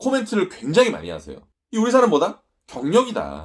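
A man speaks with very wide pitch swings. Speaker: study-abroad agency owner. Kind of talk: casual talk to camera.

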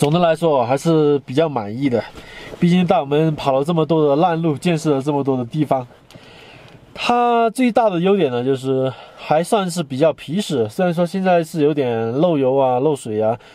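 A man speaks at a moderate pace. The sound is dry with no echo. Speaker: travel vlogger. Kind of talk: casual vlog chat. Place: car. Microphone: phone near.

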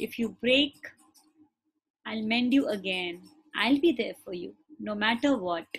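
Somewhat breathy and soothing, a woman speaks at a fairly high pitch and a fairly slow pace, with lively intonation, big swings in loudness and long, frequent pauses. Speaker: meditation teacher. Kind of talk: guided heart meditation with spoken affirmations, led to a live class. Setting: live class. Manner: gentle, soothing instructions in short repeated phrases; tender, affectionate, emotionally warm affirmations. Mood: calm, soft, soothing. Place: home room. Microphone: video call.

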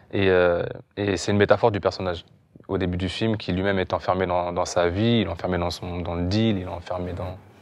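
In a very deep, low pitch, a man talks at a fairly quick pace with monotone, flat intonation. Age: young. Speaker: film director. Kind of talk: interview. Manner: halting. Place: hall.

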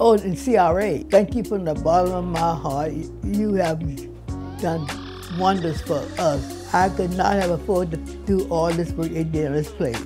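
A woman talking at a moderate pace, with clear music in the background. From Overtown, Miami, Florida. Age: 80s+. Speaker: longtime resident and homeowner. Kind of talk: interview answer. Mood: warm, grateful, proud. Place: home room.

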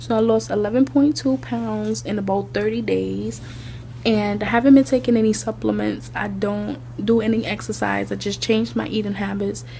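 Amid noticeable background noise, a woman keeps a moderate pace as she talks. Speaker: vlogger. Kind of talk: casual vlog talk to camera. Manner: chatty, rambling with many fillers.

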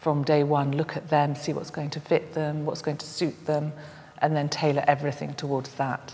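Over faint background noise, a woman speaks at a moderate pace with low pitch, little pitch movement and a dark, mellow tone.

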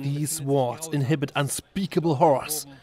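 Over noticeable background noise, a man talks at a moderate pace in an upbeat, excited tone. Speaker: event reporter. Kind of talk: comedic event report voice-over.

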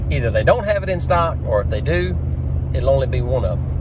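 Noticeable background noise is present. A man speaks over it at a fairly quick pace. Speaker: DIY tractor owner. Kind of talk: casual vlog chat. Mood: wry, mildly skeptical. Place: car. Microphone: phone near.

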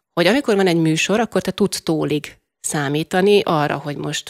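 Against a quiet background, a woman speaks with very deep, low pitch. Her pitch variation is ordinary. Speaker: radio host. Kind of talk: interview host intro and question. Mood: warm, friendly. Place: studio. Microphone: studio mic.

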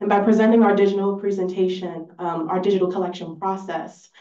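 At a fairly quick pace, a woman speaks in a dark, mellow tone with little pitch movement, and audible room echo surrounds her. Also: medium pitch for a woman.

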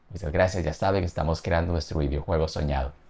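A man speaks with a very deep, low pitch. His voice is somewhat breathy. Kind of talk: casual vlog chat. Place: home room.

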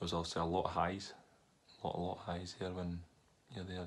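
Amid light background noise, a man with a Scottish accent talks in a very deep, low pitch with monotone, flat intonation. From Scotland. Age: 30s. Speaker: professional footballer. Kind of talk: interview. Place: home room. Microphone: webcam.

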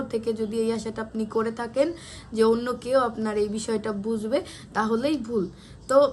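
Through noticeable background noise, a woman speaks at a fairly high pitch with fairly even intonation. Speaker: lifestyle vlogger. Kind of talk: vlog monologue. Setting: home by a window.

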